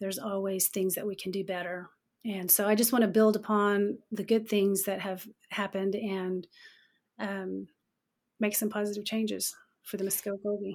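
On a very clean recording with a silent background, a woman with an Oklahoma accent talks at a medium pitch and a moderate pace. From Oklahoma, Okmulgee County. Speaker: political candidate. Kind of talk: interview.

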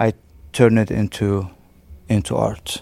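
The man's tone is dark and mellow. The recording is very clean, and the background is silent. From Syria, raised in Beirut, Lebanon. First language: Arabic. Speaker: artist. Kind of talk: interview. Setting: arts space exhibition. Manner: halting, frequent repetitions.

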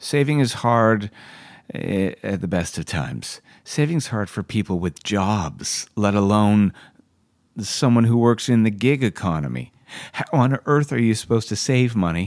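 A man with a Canadian accent and an unremarkable speaking voice, fairly low in pitch, lively in intonation, at a moderate pace on a very clean recording with a silent background. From Canada. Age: 50s. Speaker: actor and acting teacher. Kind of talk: casual solo podcast monologue.

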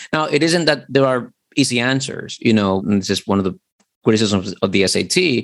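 A man's speech has ordinary pitch variation and moves at a moderate pace. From Dominican Republic. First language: Spanish. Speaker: literature lecturer. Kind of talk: interview conversation.

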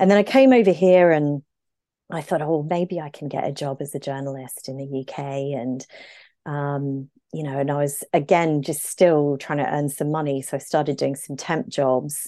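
The voice has a dark, mellow tone and fairly even intonation. It moves at a moderate pace with big swings in loudness. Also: woman, very deep, low pitch for a woman. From Brisbane, Queensland, Australia. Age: 40s. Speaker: medical herbalist. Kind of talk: casual interview chat.

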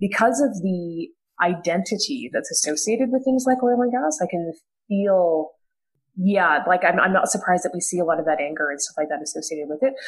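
A woman with a Canadian accent has a normal speaking voice at medium pitch. She talks at a fairly quick pace with lively intonation. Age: 30s. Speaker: political science professor. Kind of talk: panel discussion.

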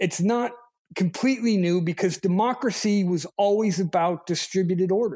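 At a high pitch and a moderate pace, a man speaks with very even loudness and ordinary pitch variation. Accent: Chicago. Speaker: political and energy writer. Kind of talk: casual chat.

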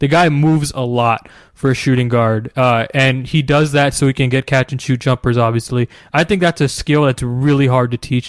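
This man has a medium pitch and an American accent, talking at a moderate pace with fairly even intonation. His loudness stays very even, and the sound is dry and close with no echo. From New Jersey. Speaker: basketball podcast host. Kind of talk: casual chat. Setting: call recorded on backup audio.

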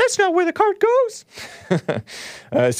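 Someone performs a put-on character voice. It is squeaky and extremely high in pitch.

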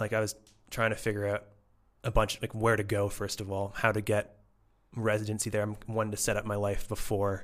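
A fairly quick, monotone, flat delivery in a Canadian accent on a very clean recording with a silent background. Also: man, fairly low pitch for a man. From Canada, Toronto. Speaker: data science educator. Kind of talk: casual interview. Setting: in person.

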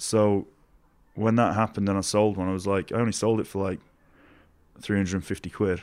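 A man with a Yorkshire accent speaks in a fairly low, monotone, flat voice with long, frequent pauses on a very clean recording with a silent background. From Doncaster, Yorkshire, England. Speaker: snowboarder and artist. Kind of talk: casual chat interview. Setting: in person at a snowboard festival in Switzerland.

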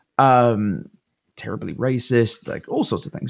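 A man speaks in a London accent. Vocal fry runs through his voice. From London, England. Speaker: podcast co-host. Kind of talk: casual chat.

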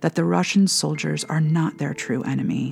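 A woman's very deep, low pitch in a solemn tone. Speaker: spiritual director and prayer podcast host. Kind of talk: fervent intercessory prayer read aloud, pleading petitions to God. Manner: urgent, impassioned pleading with rising intensity; earnest, solemn, measured.

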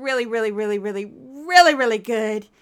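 A female-sounding, put-on character voice pitched fairly high. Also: moderate pace.

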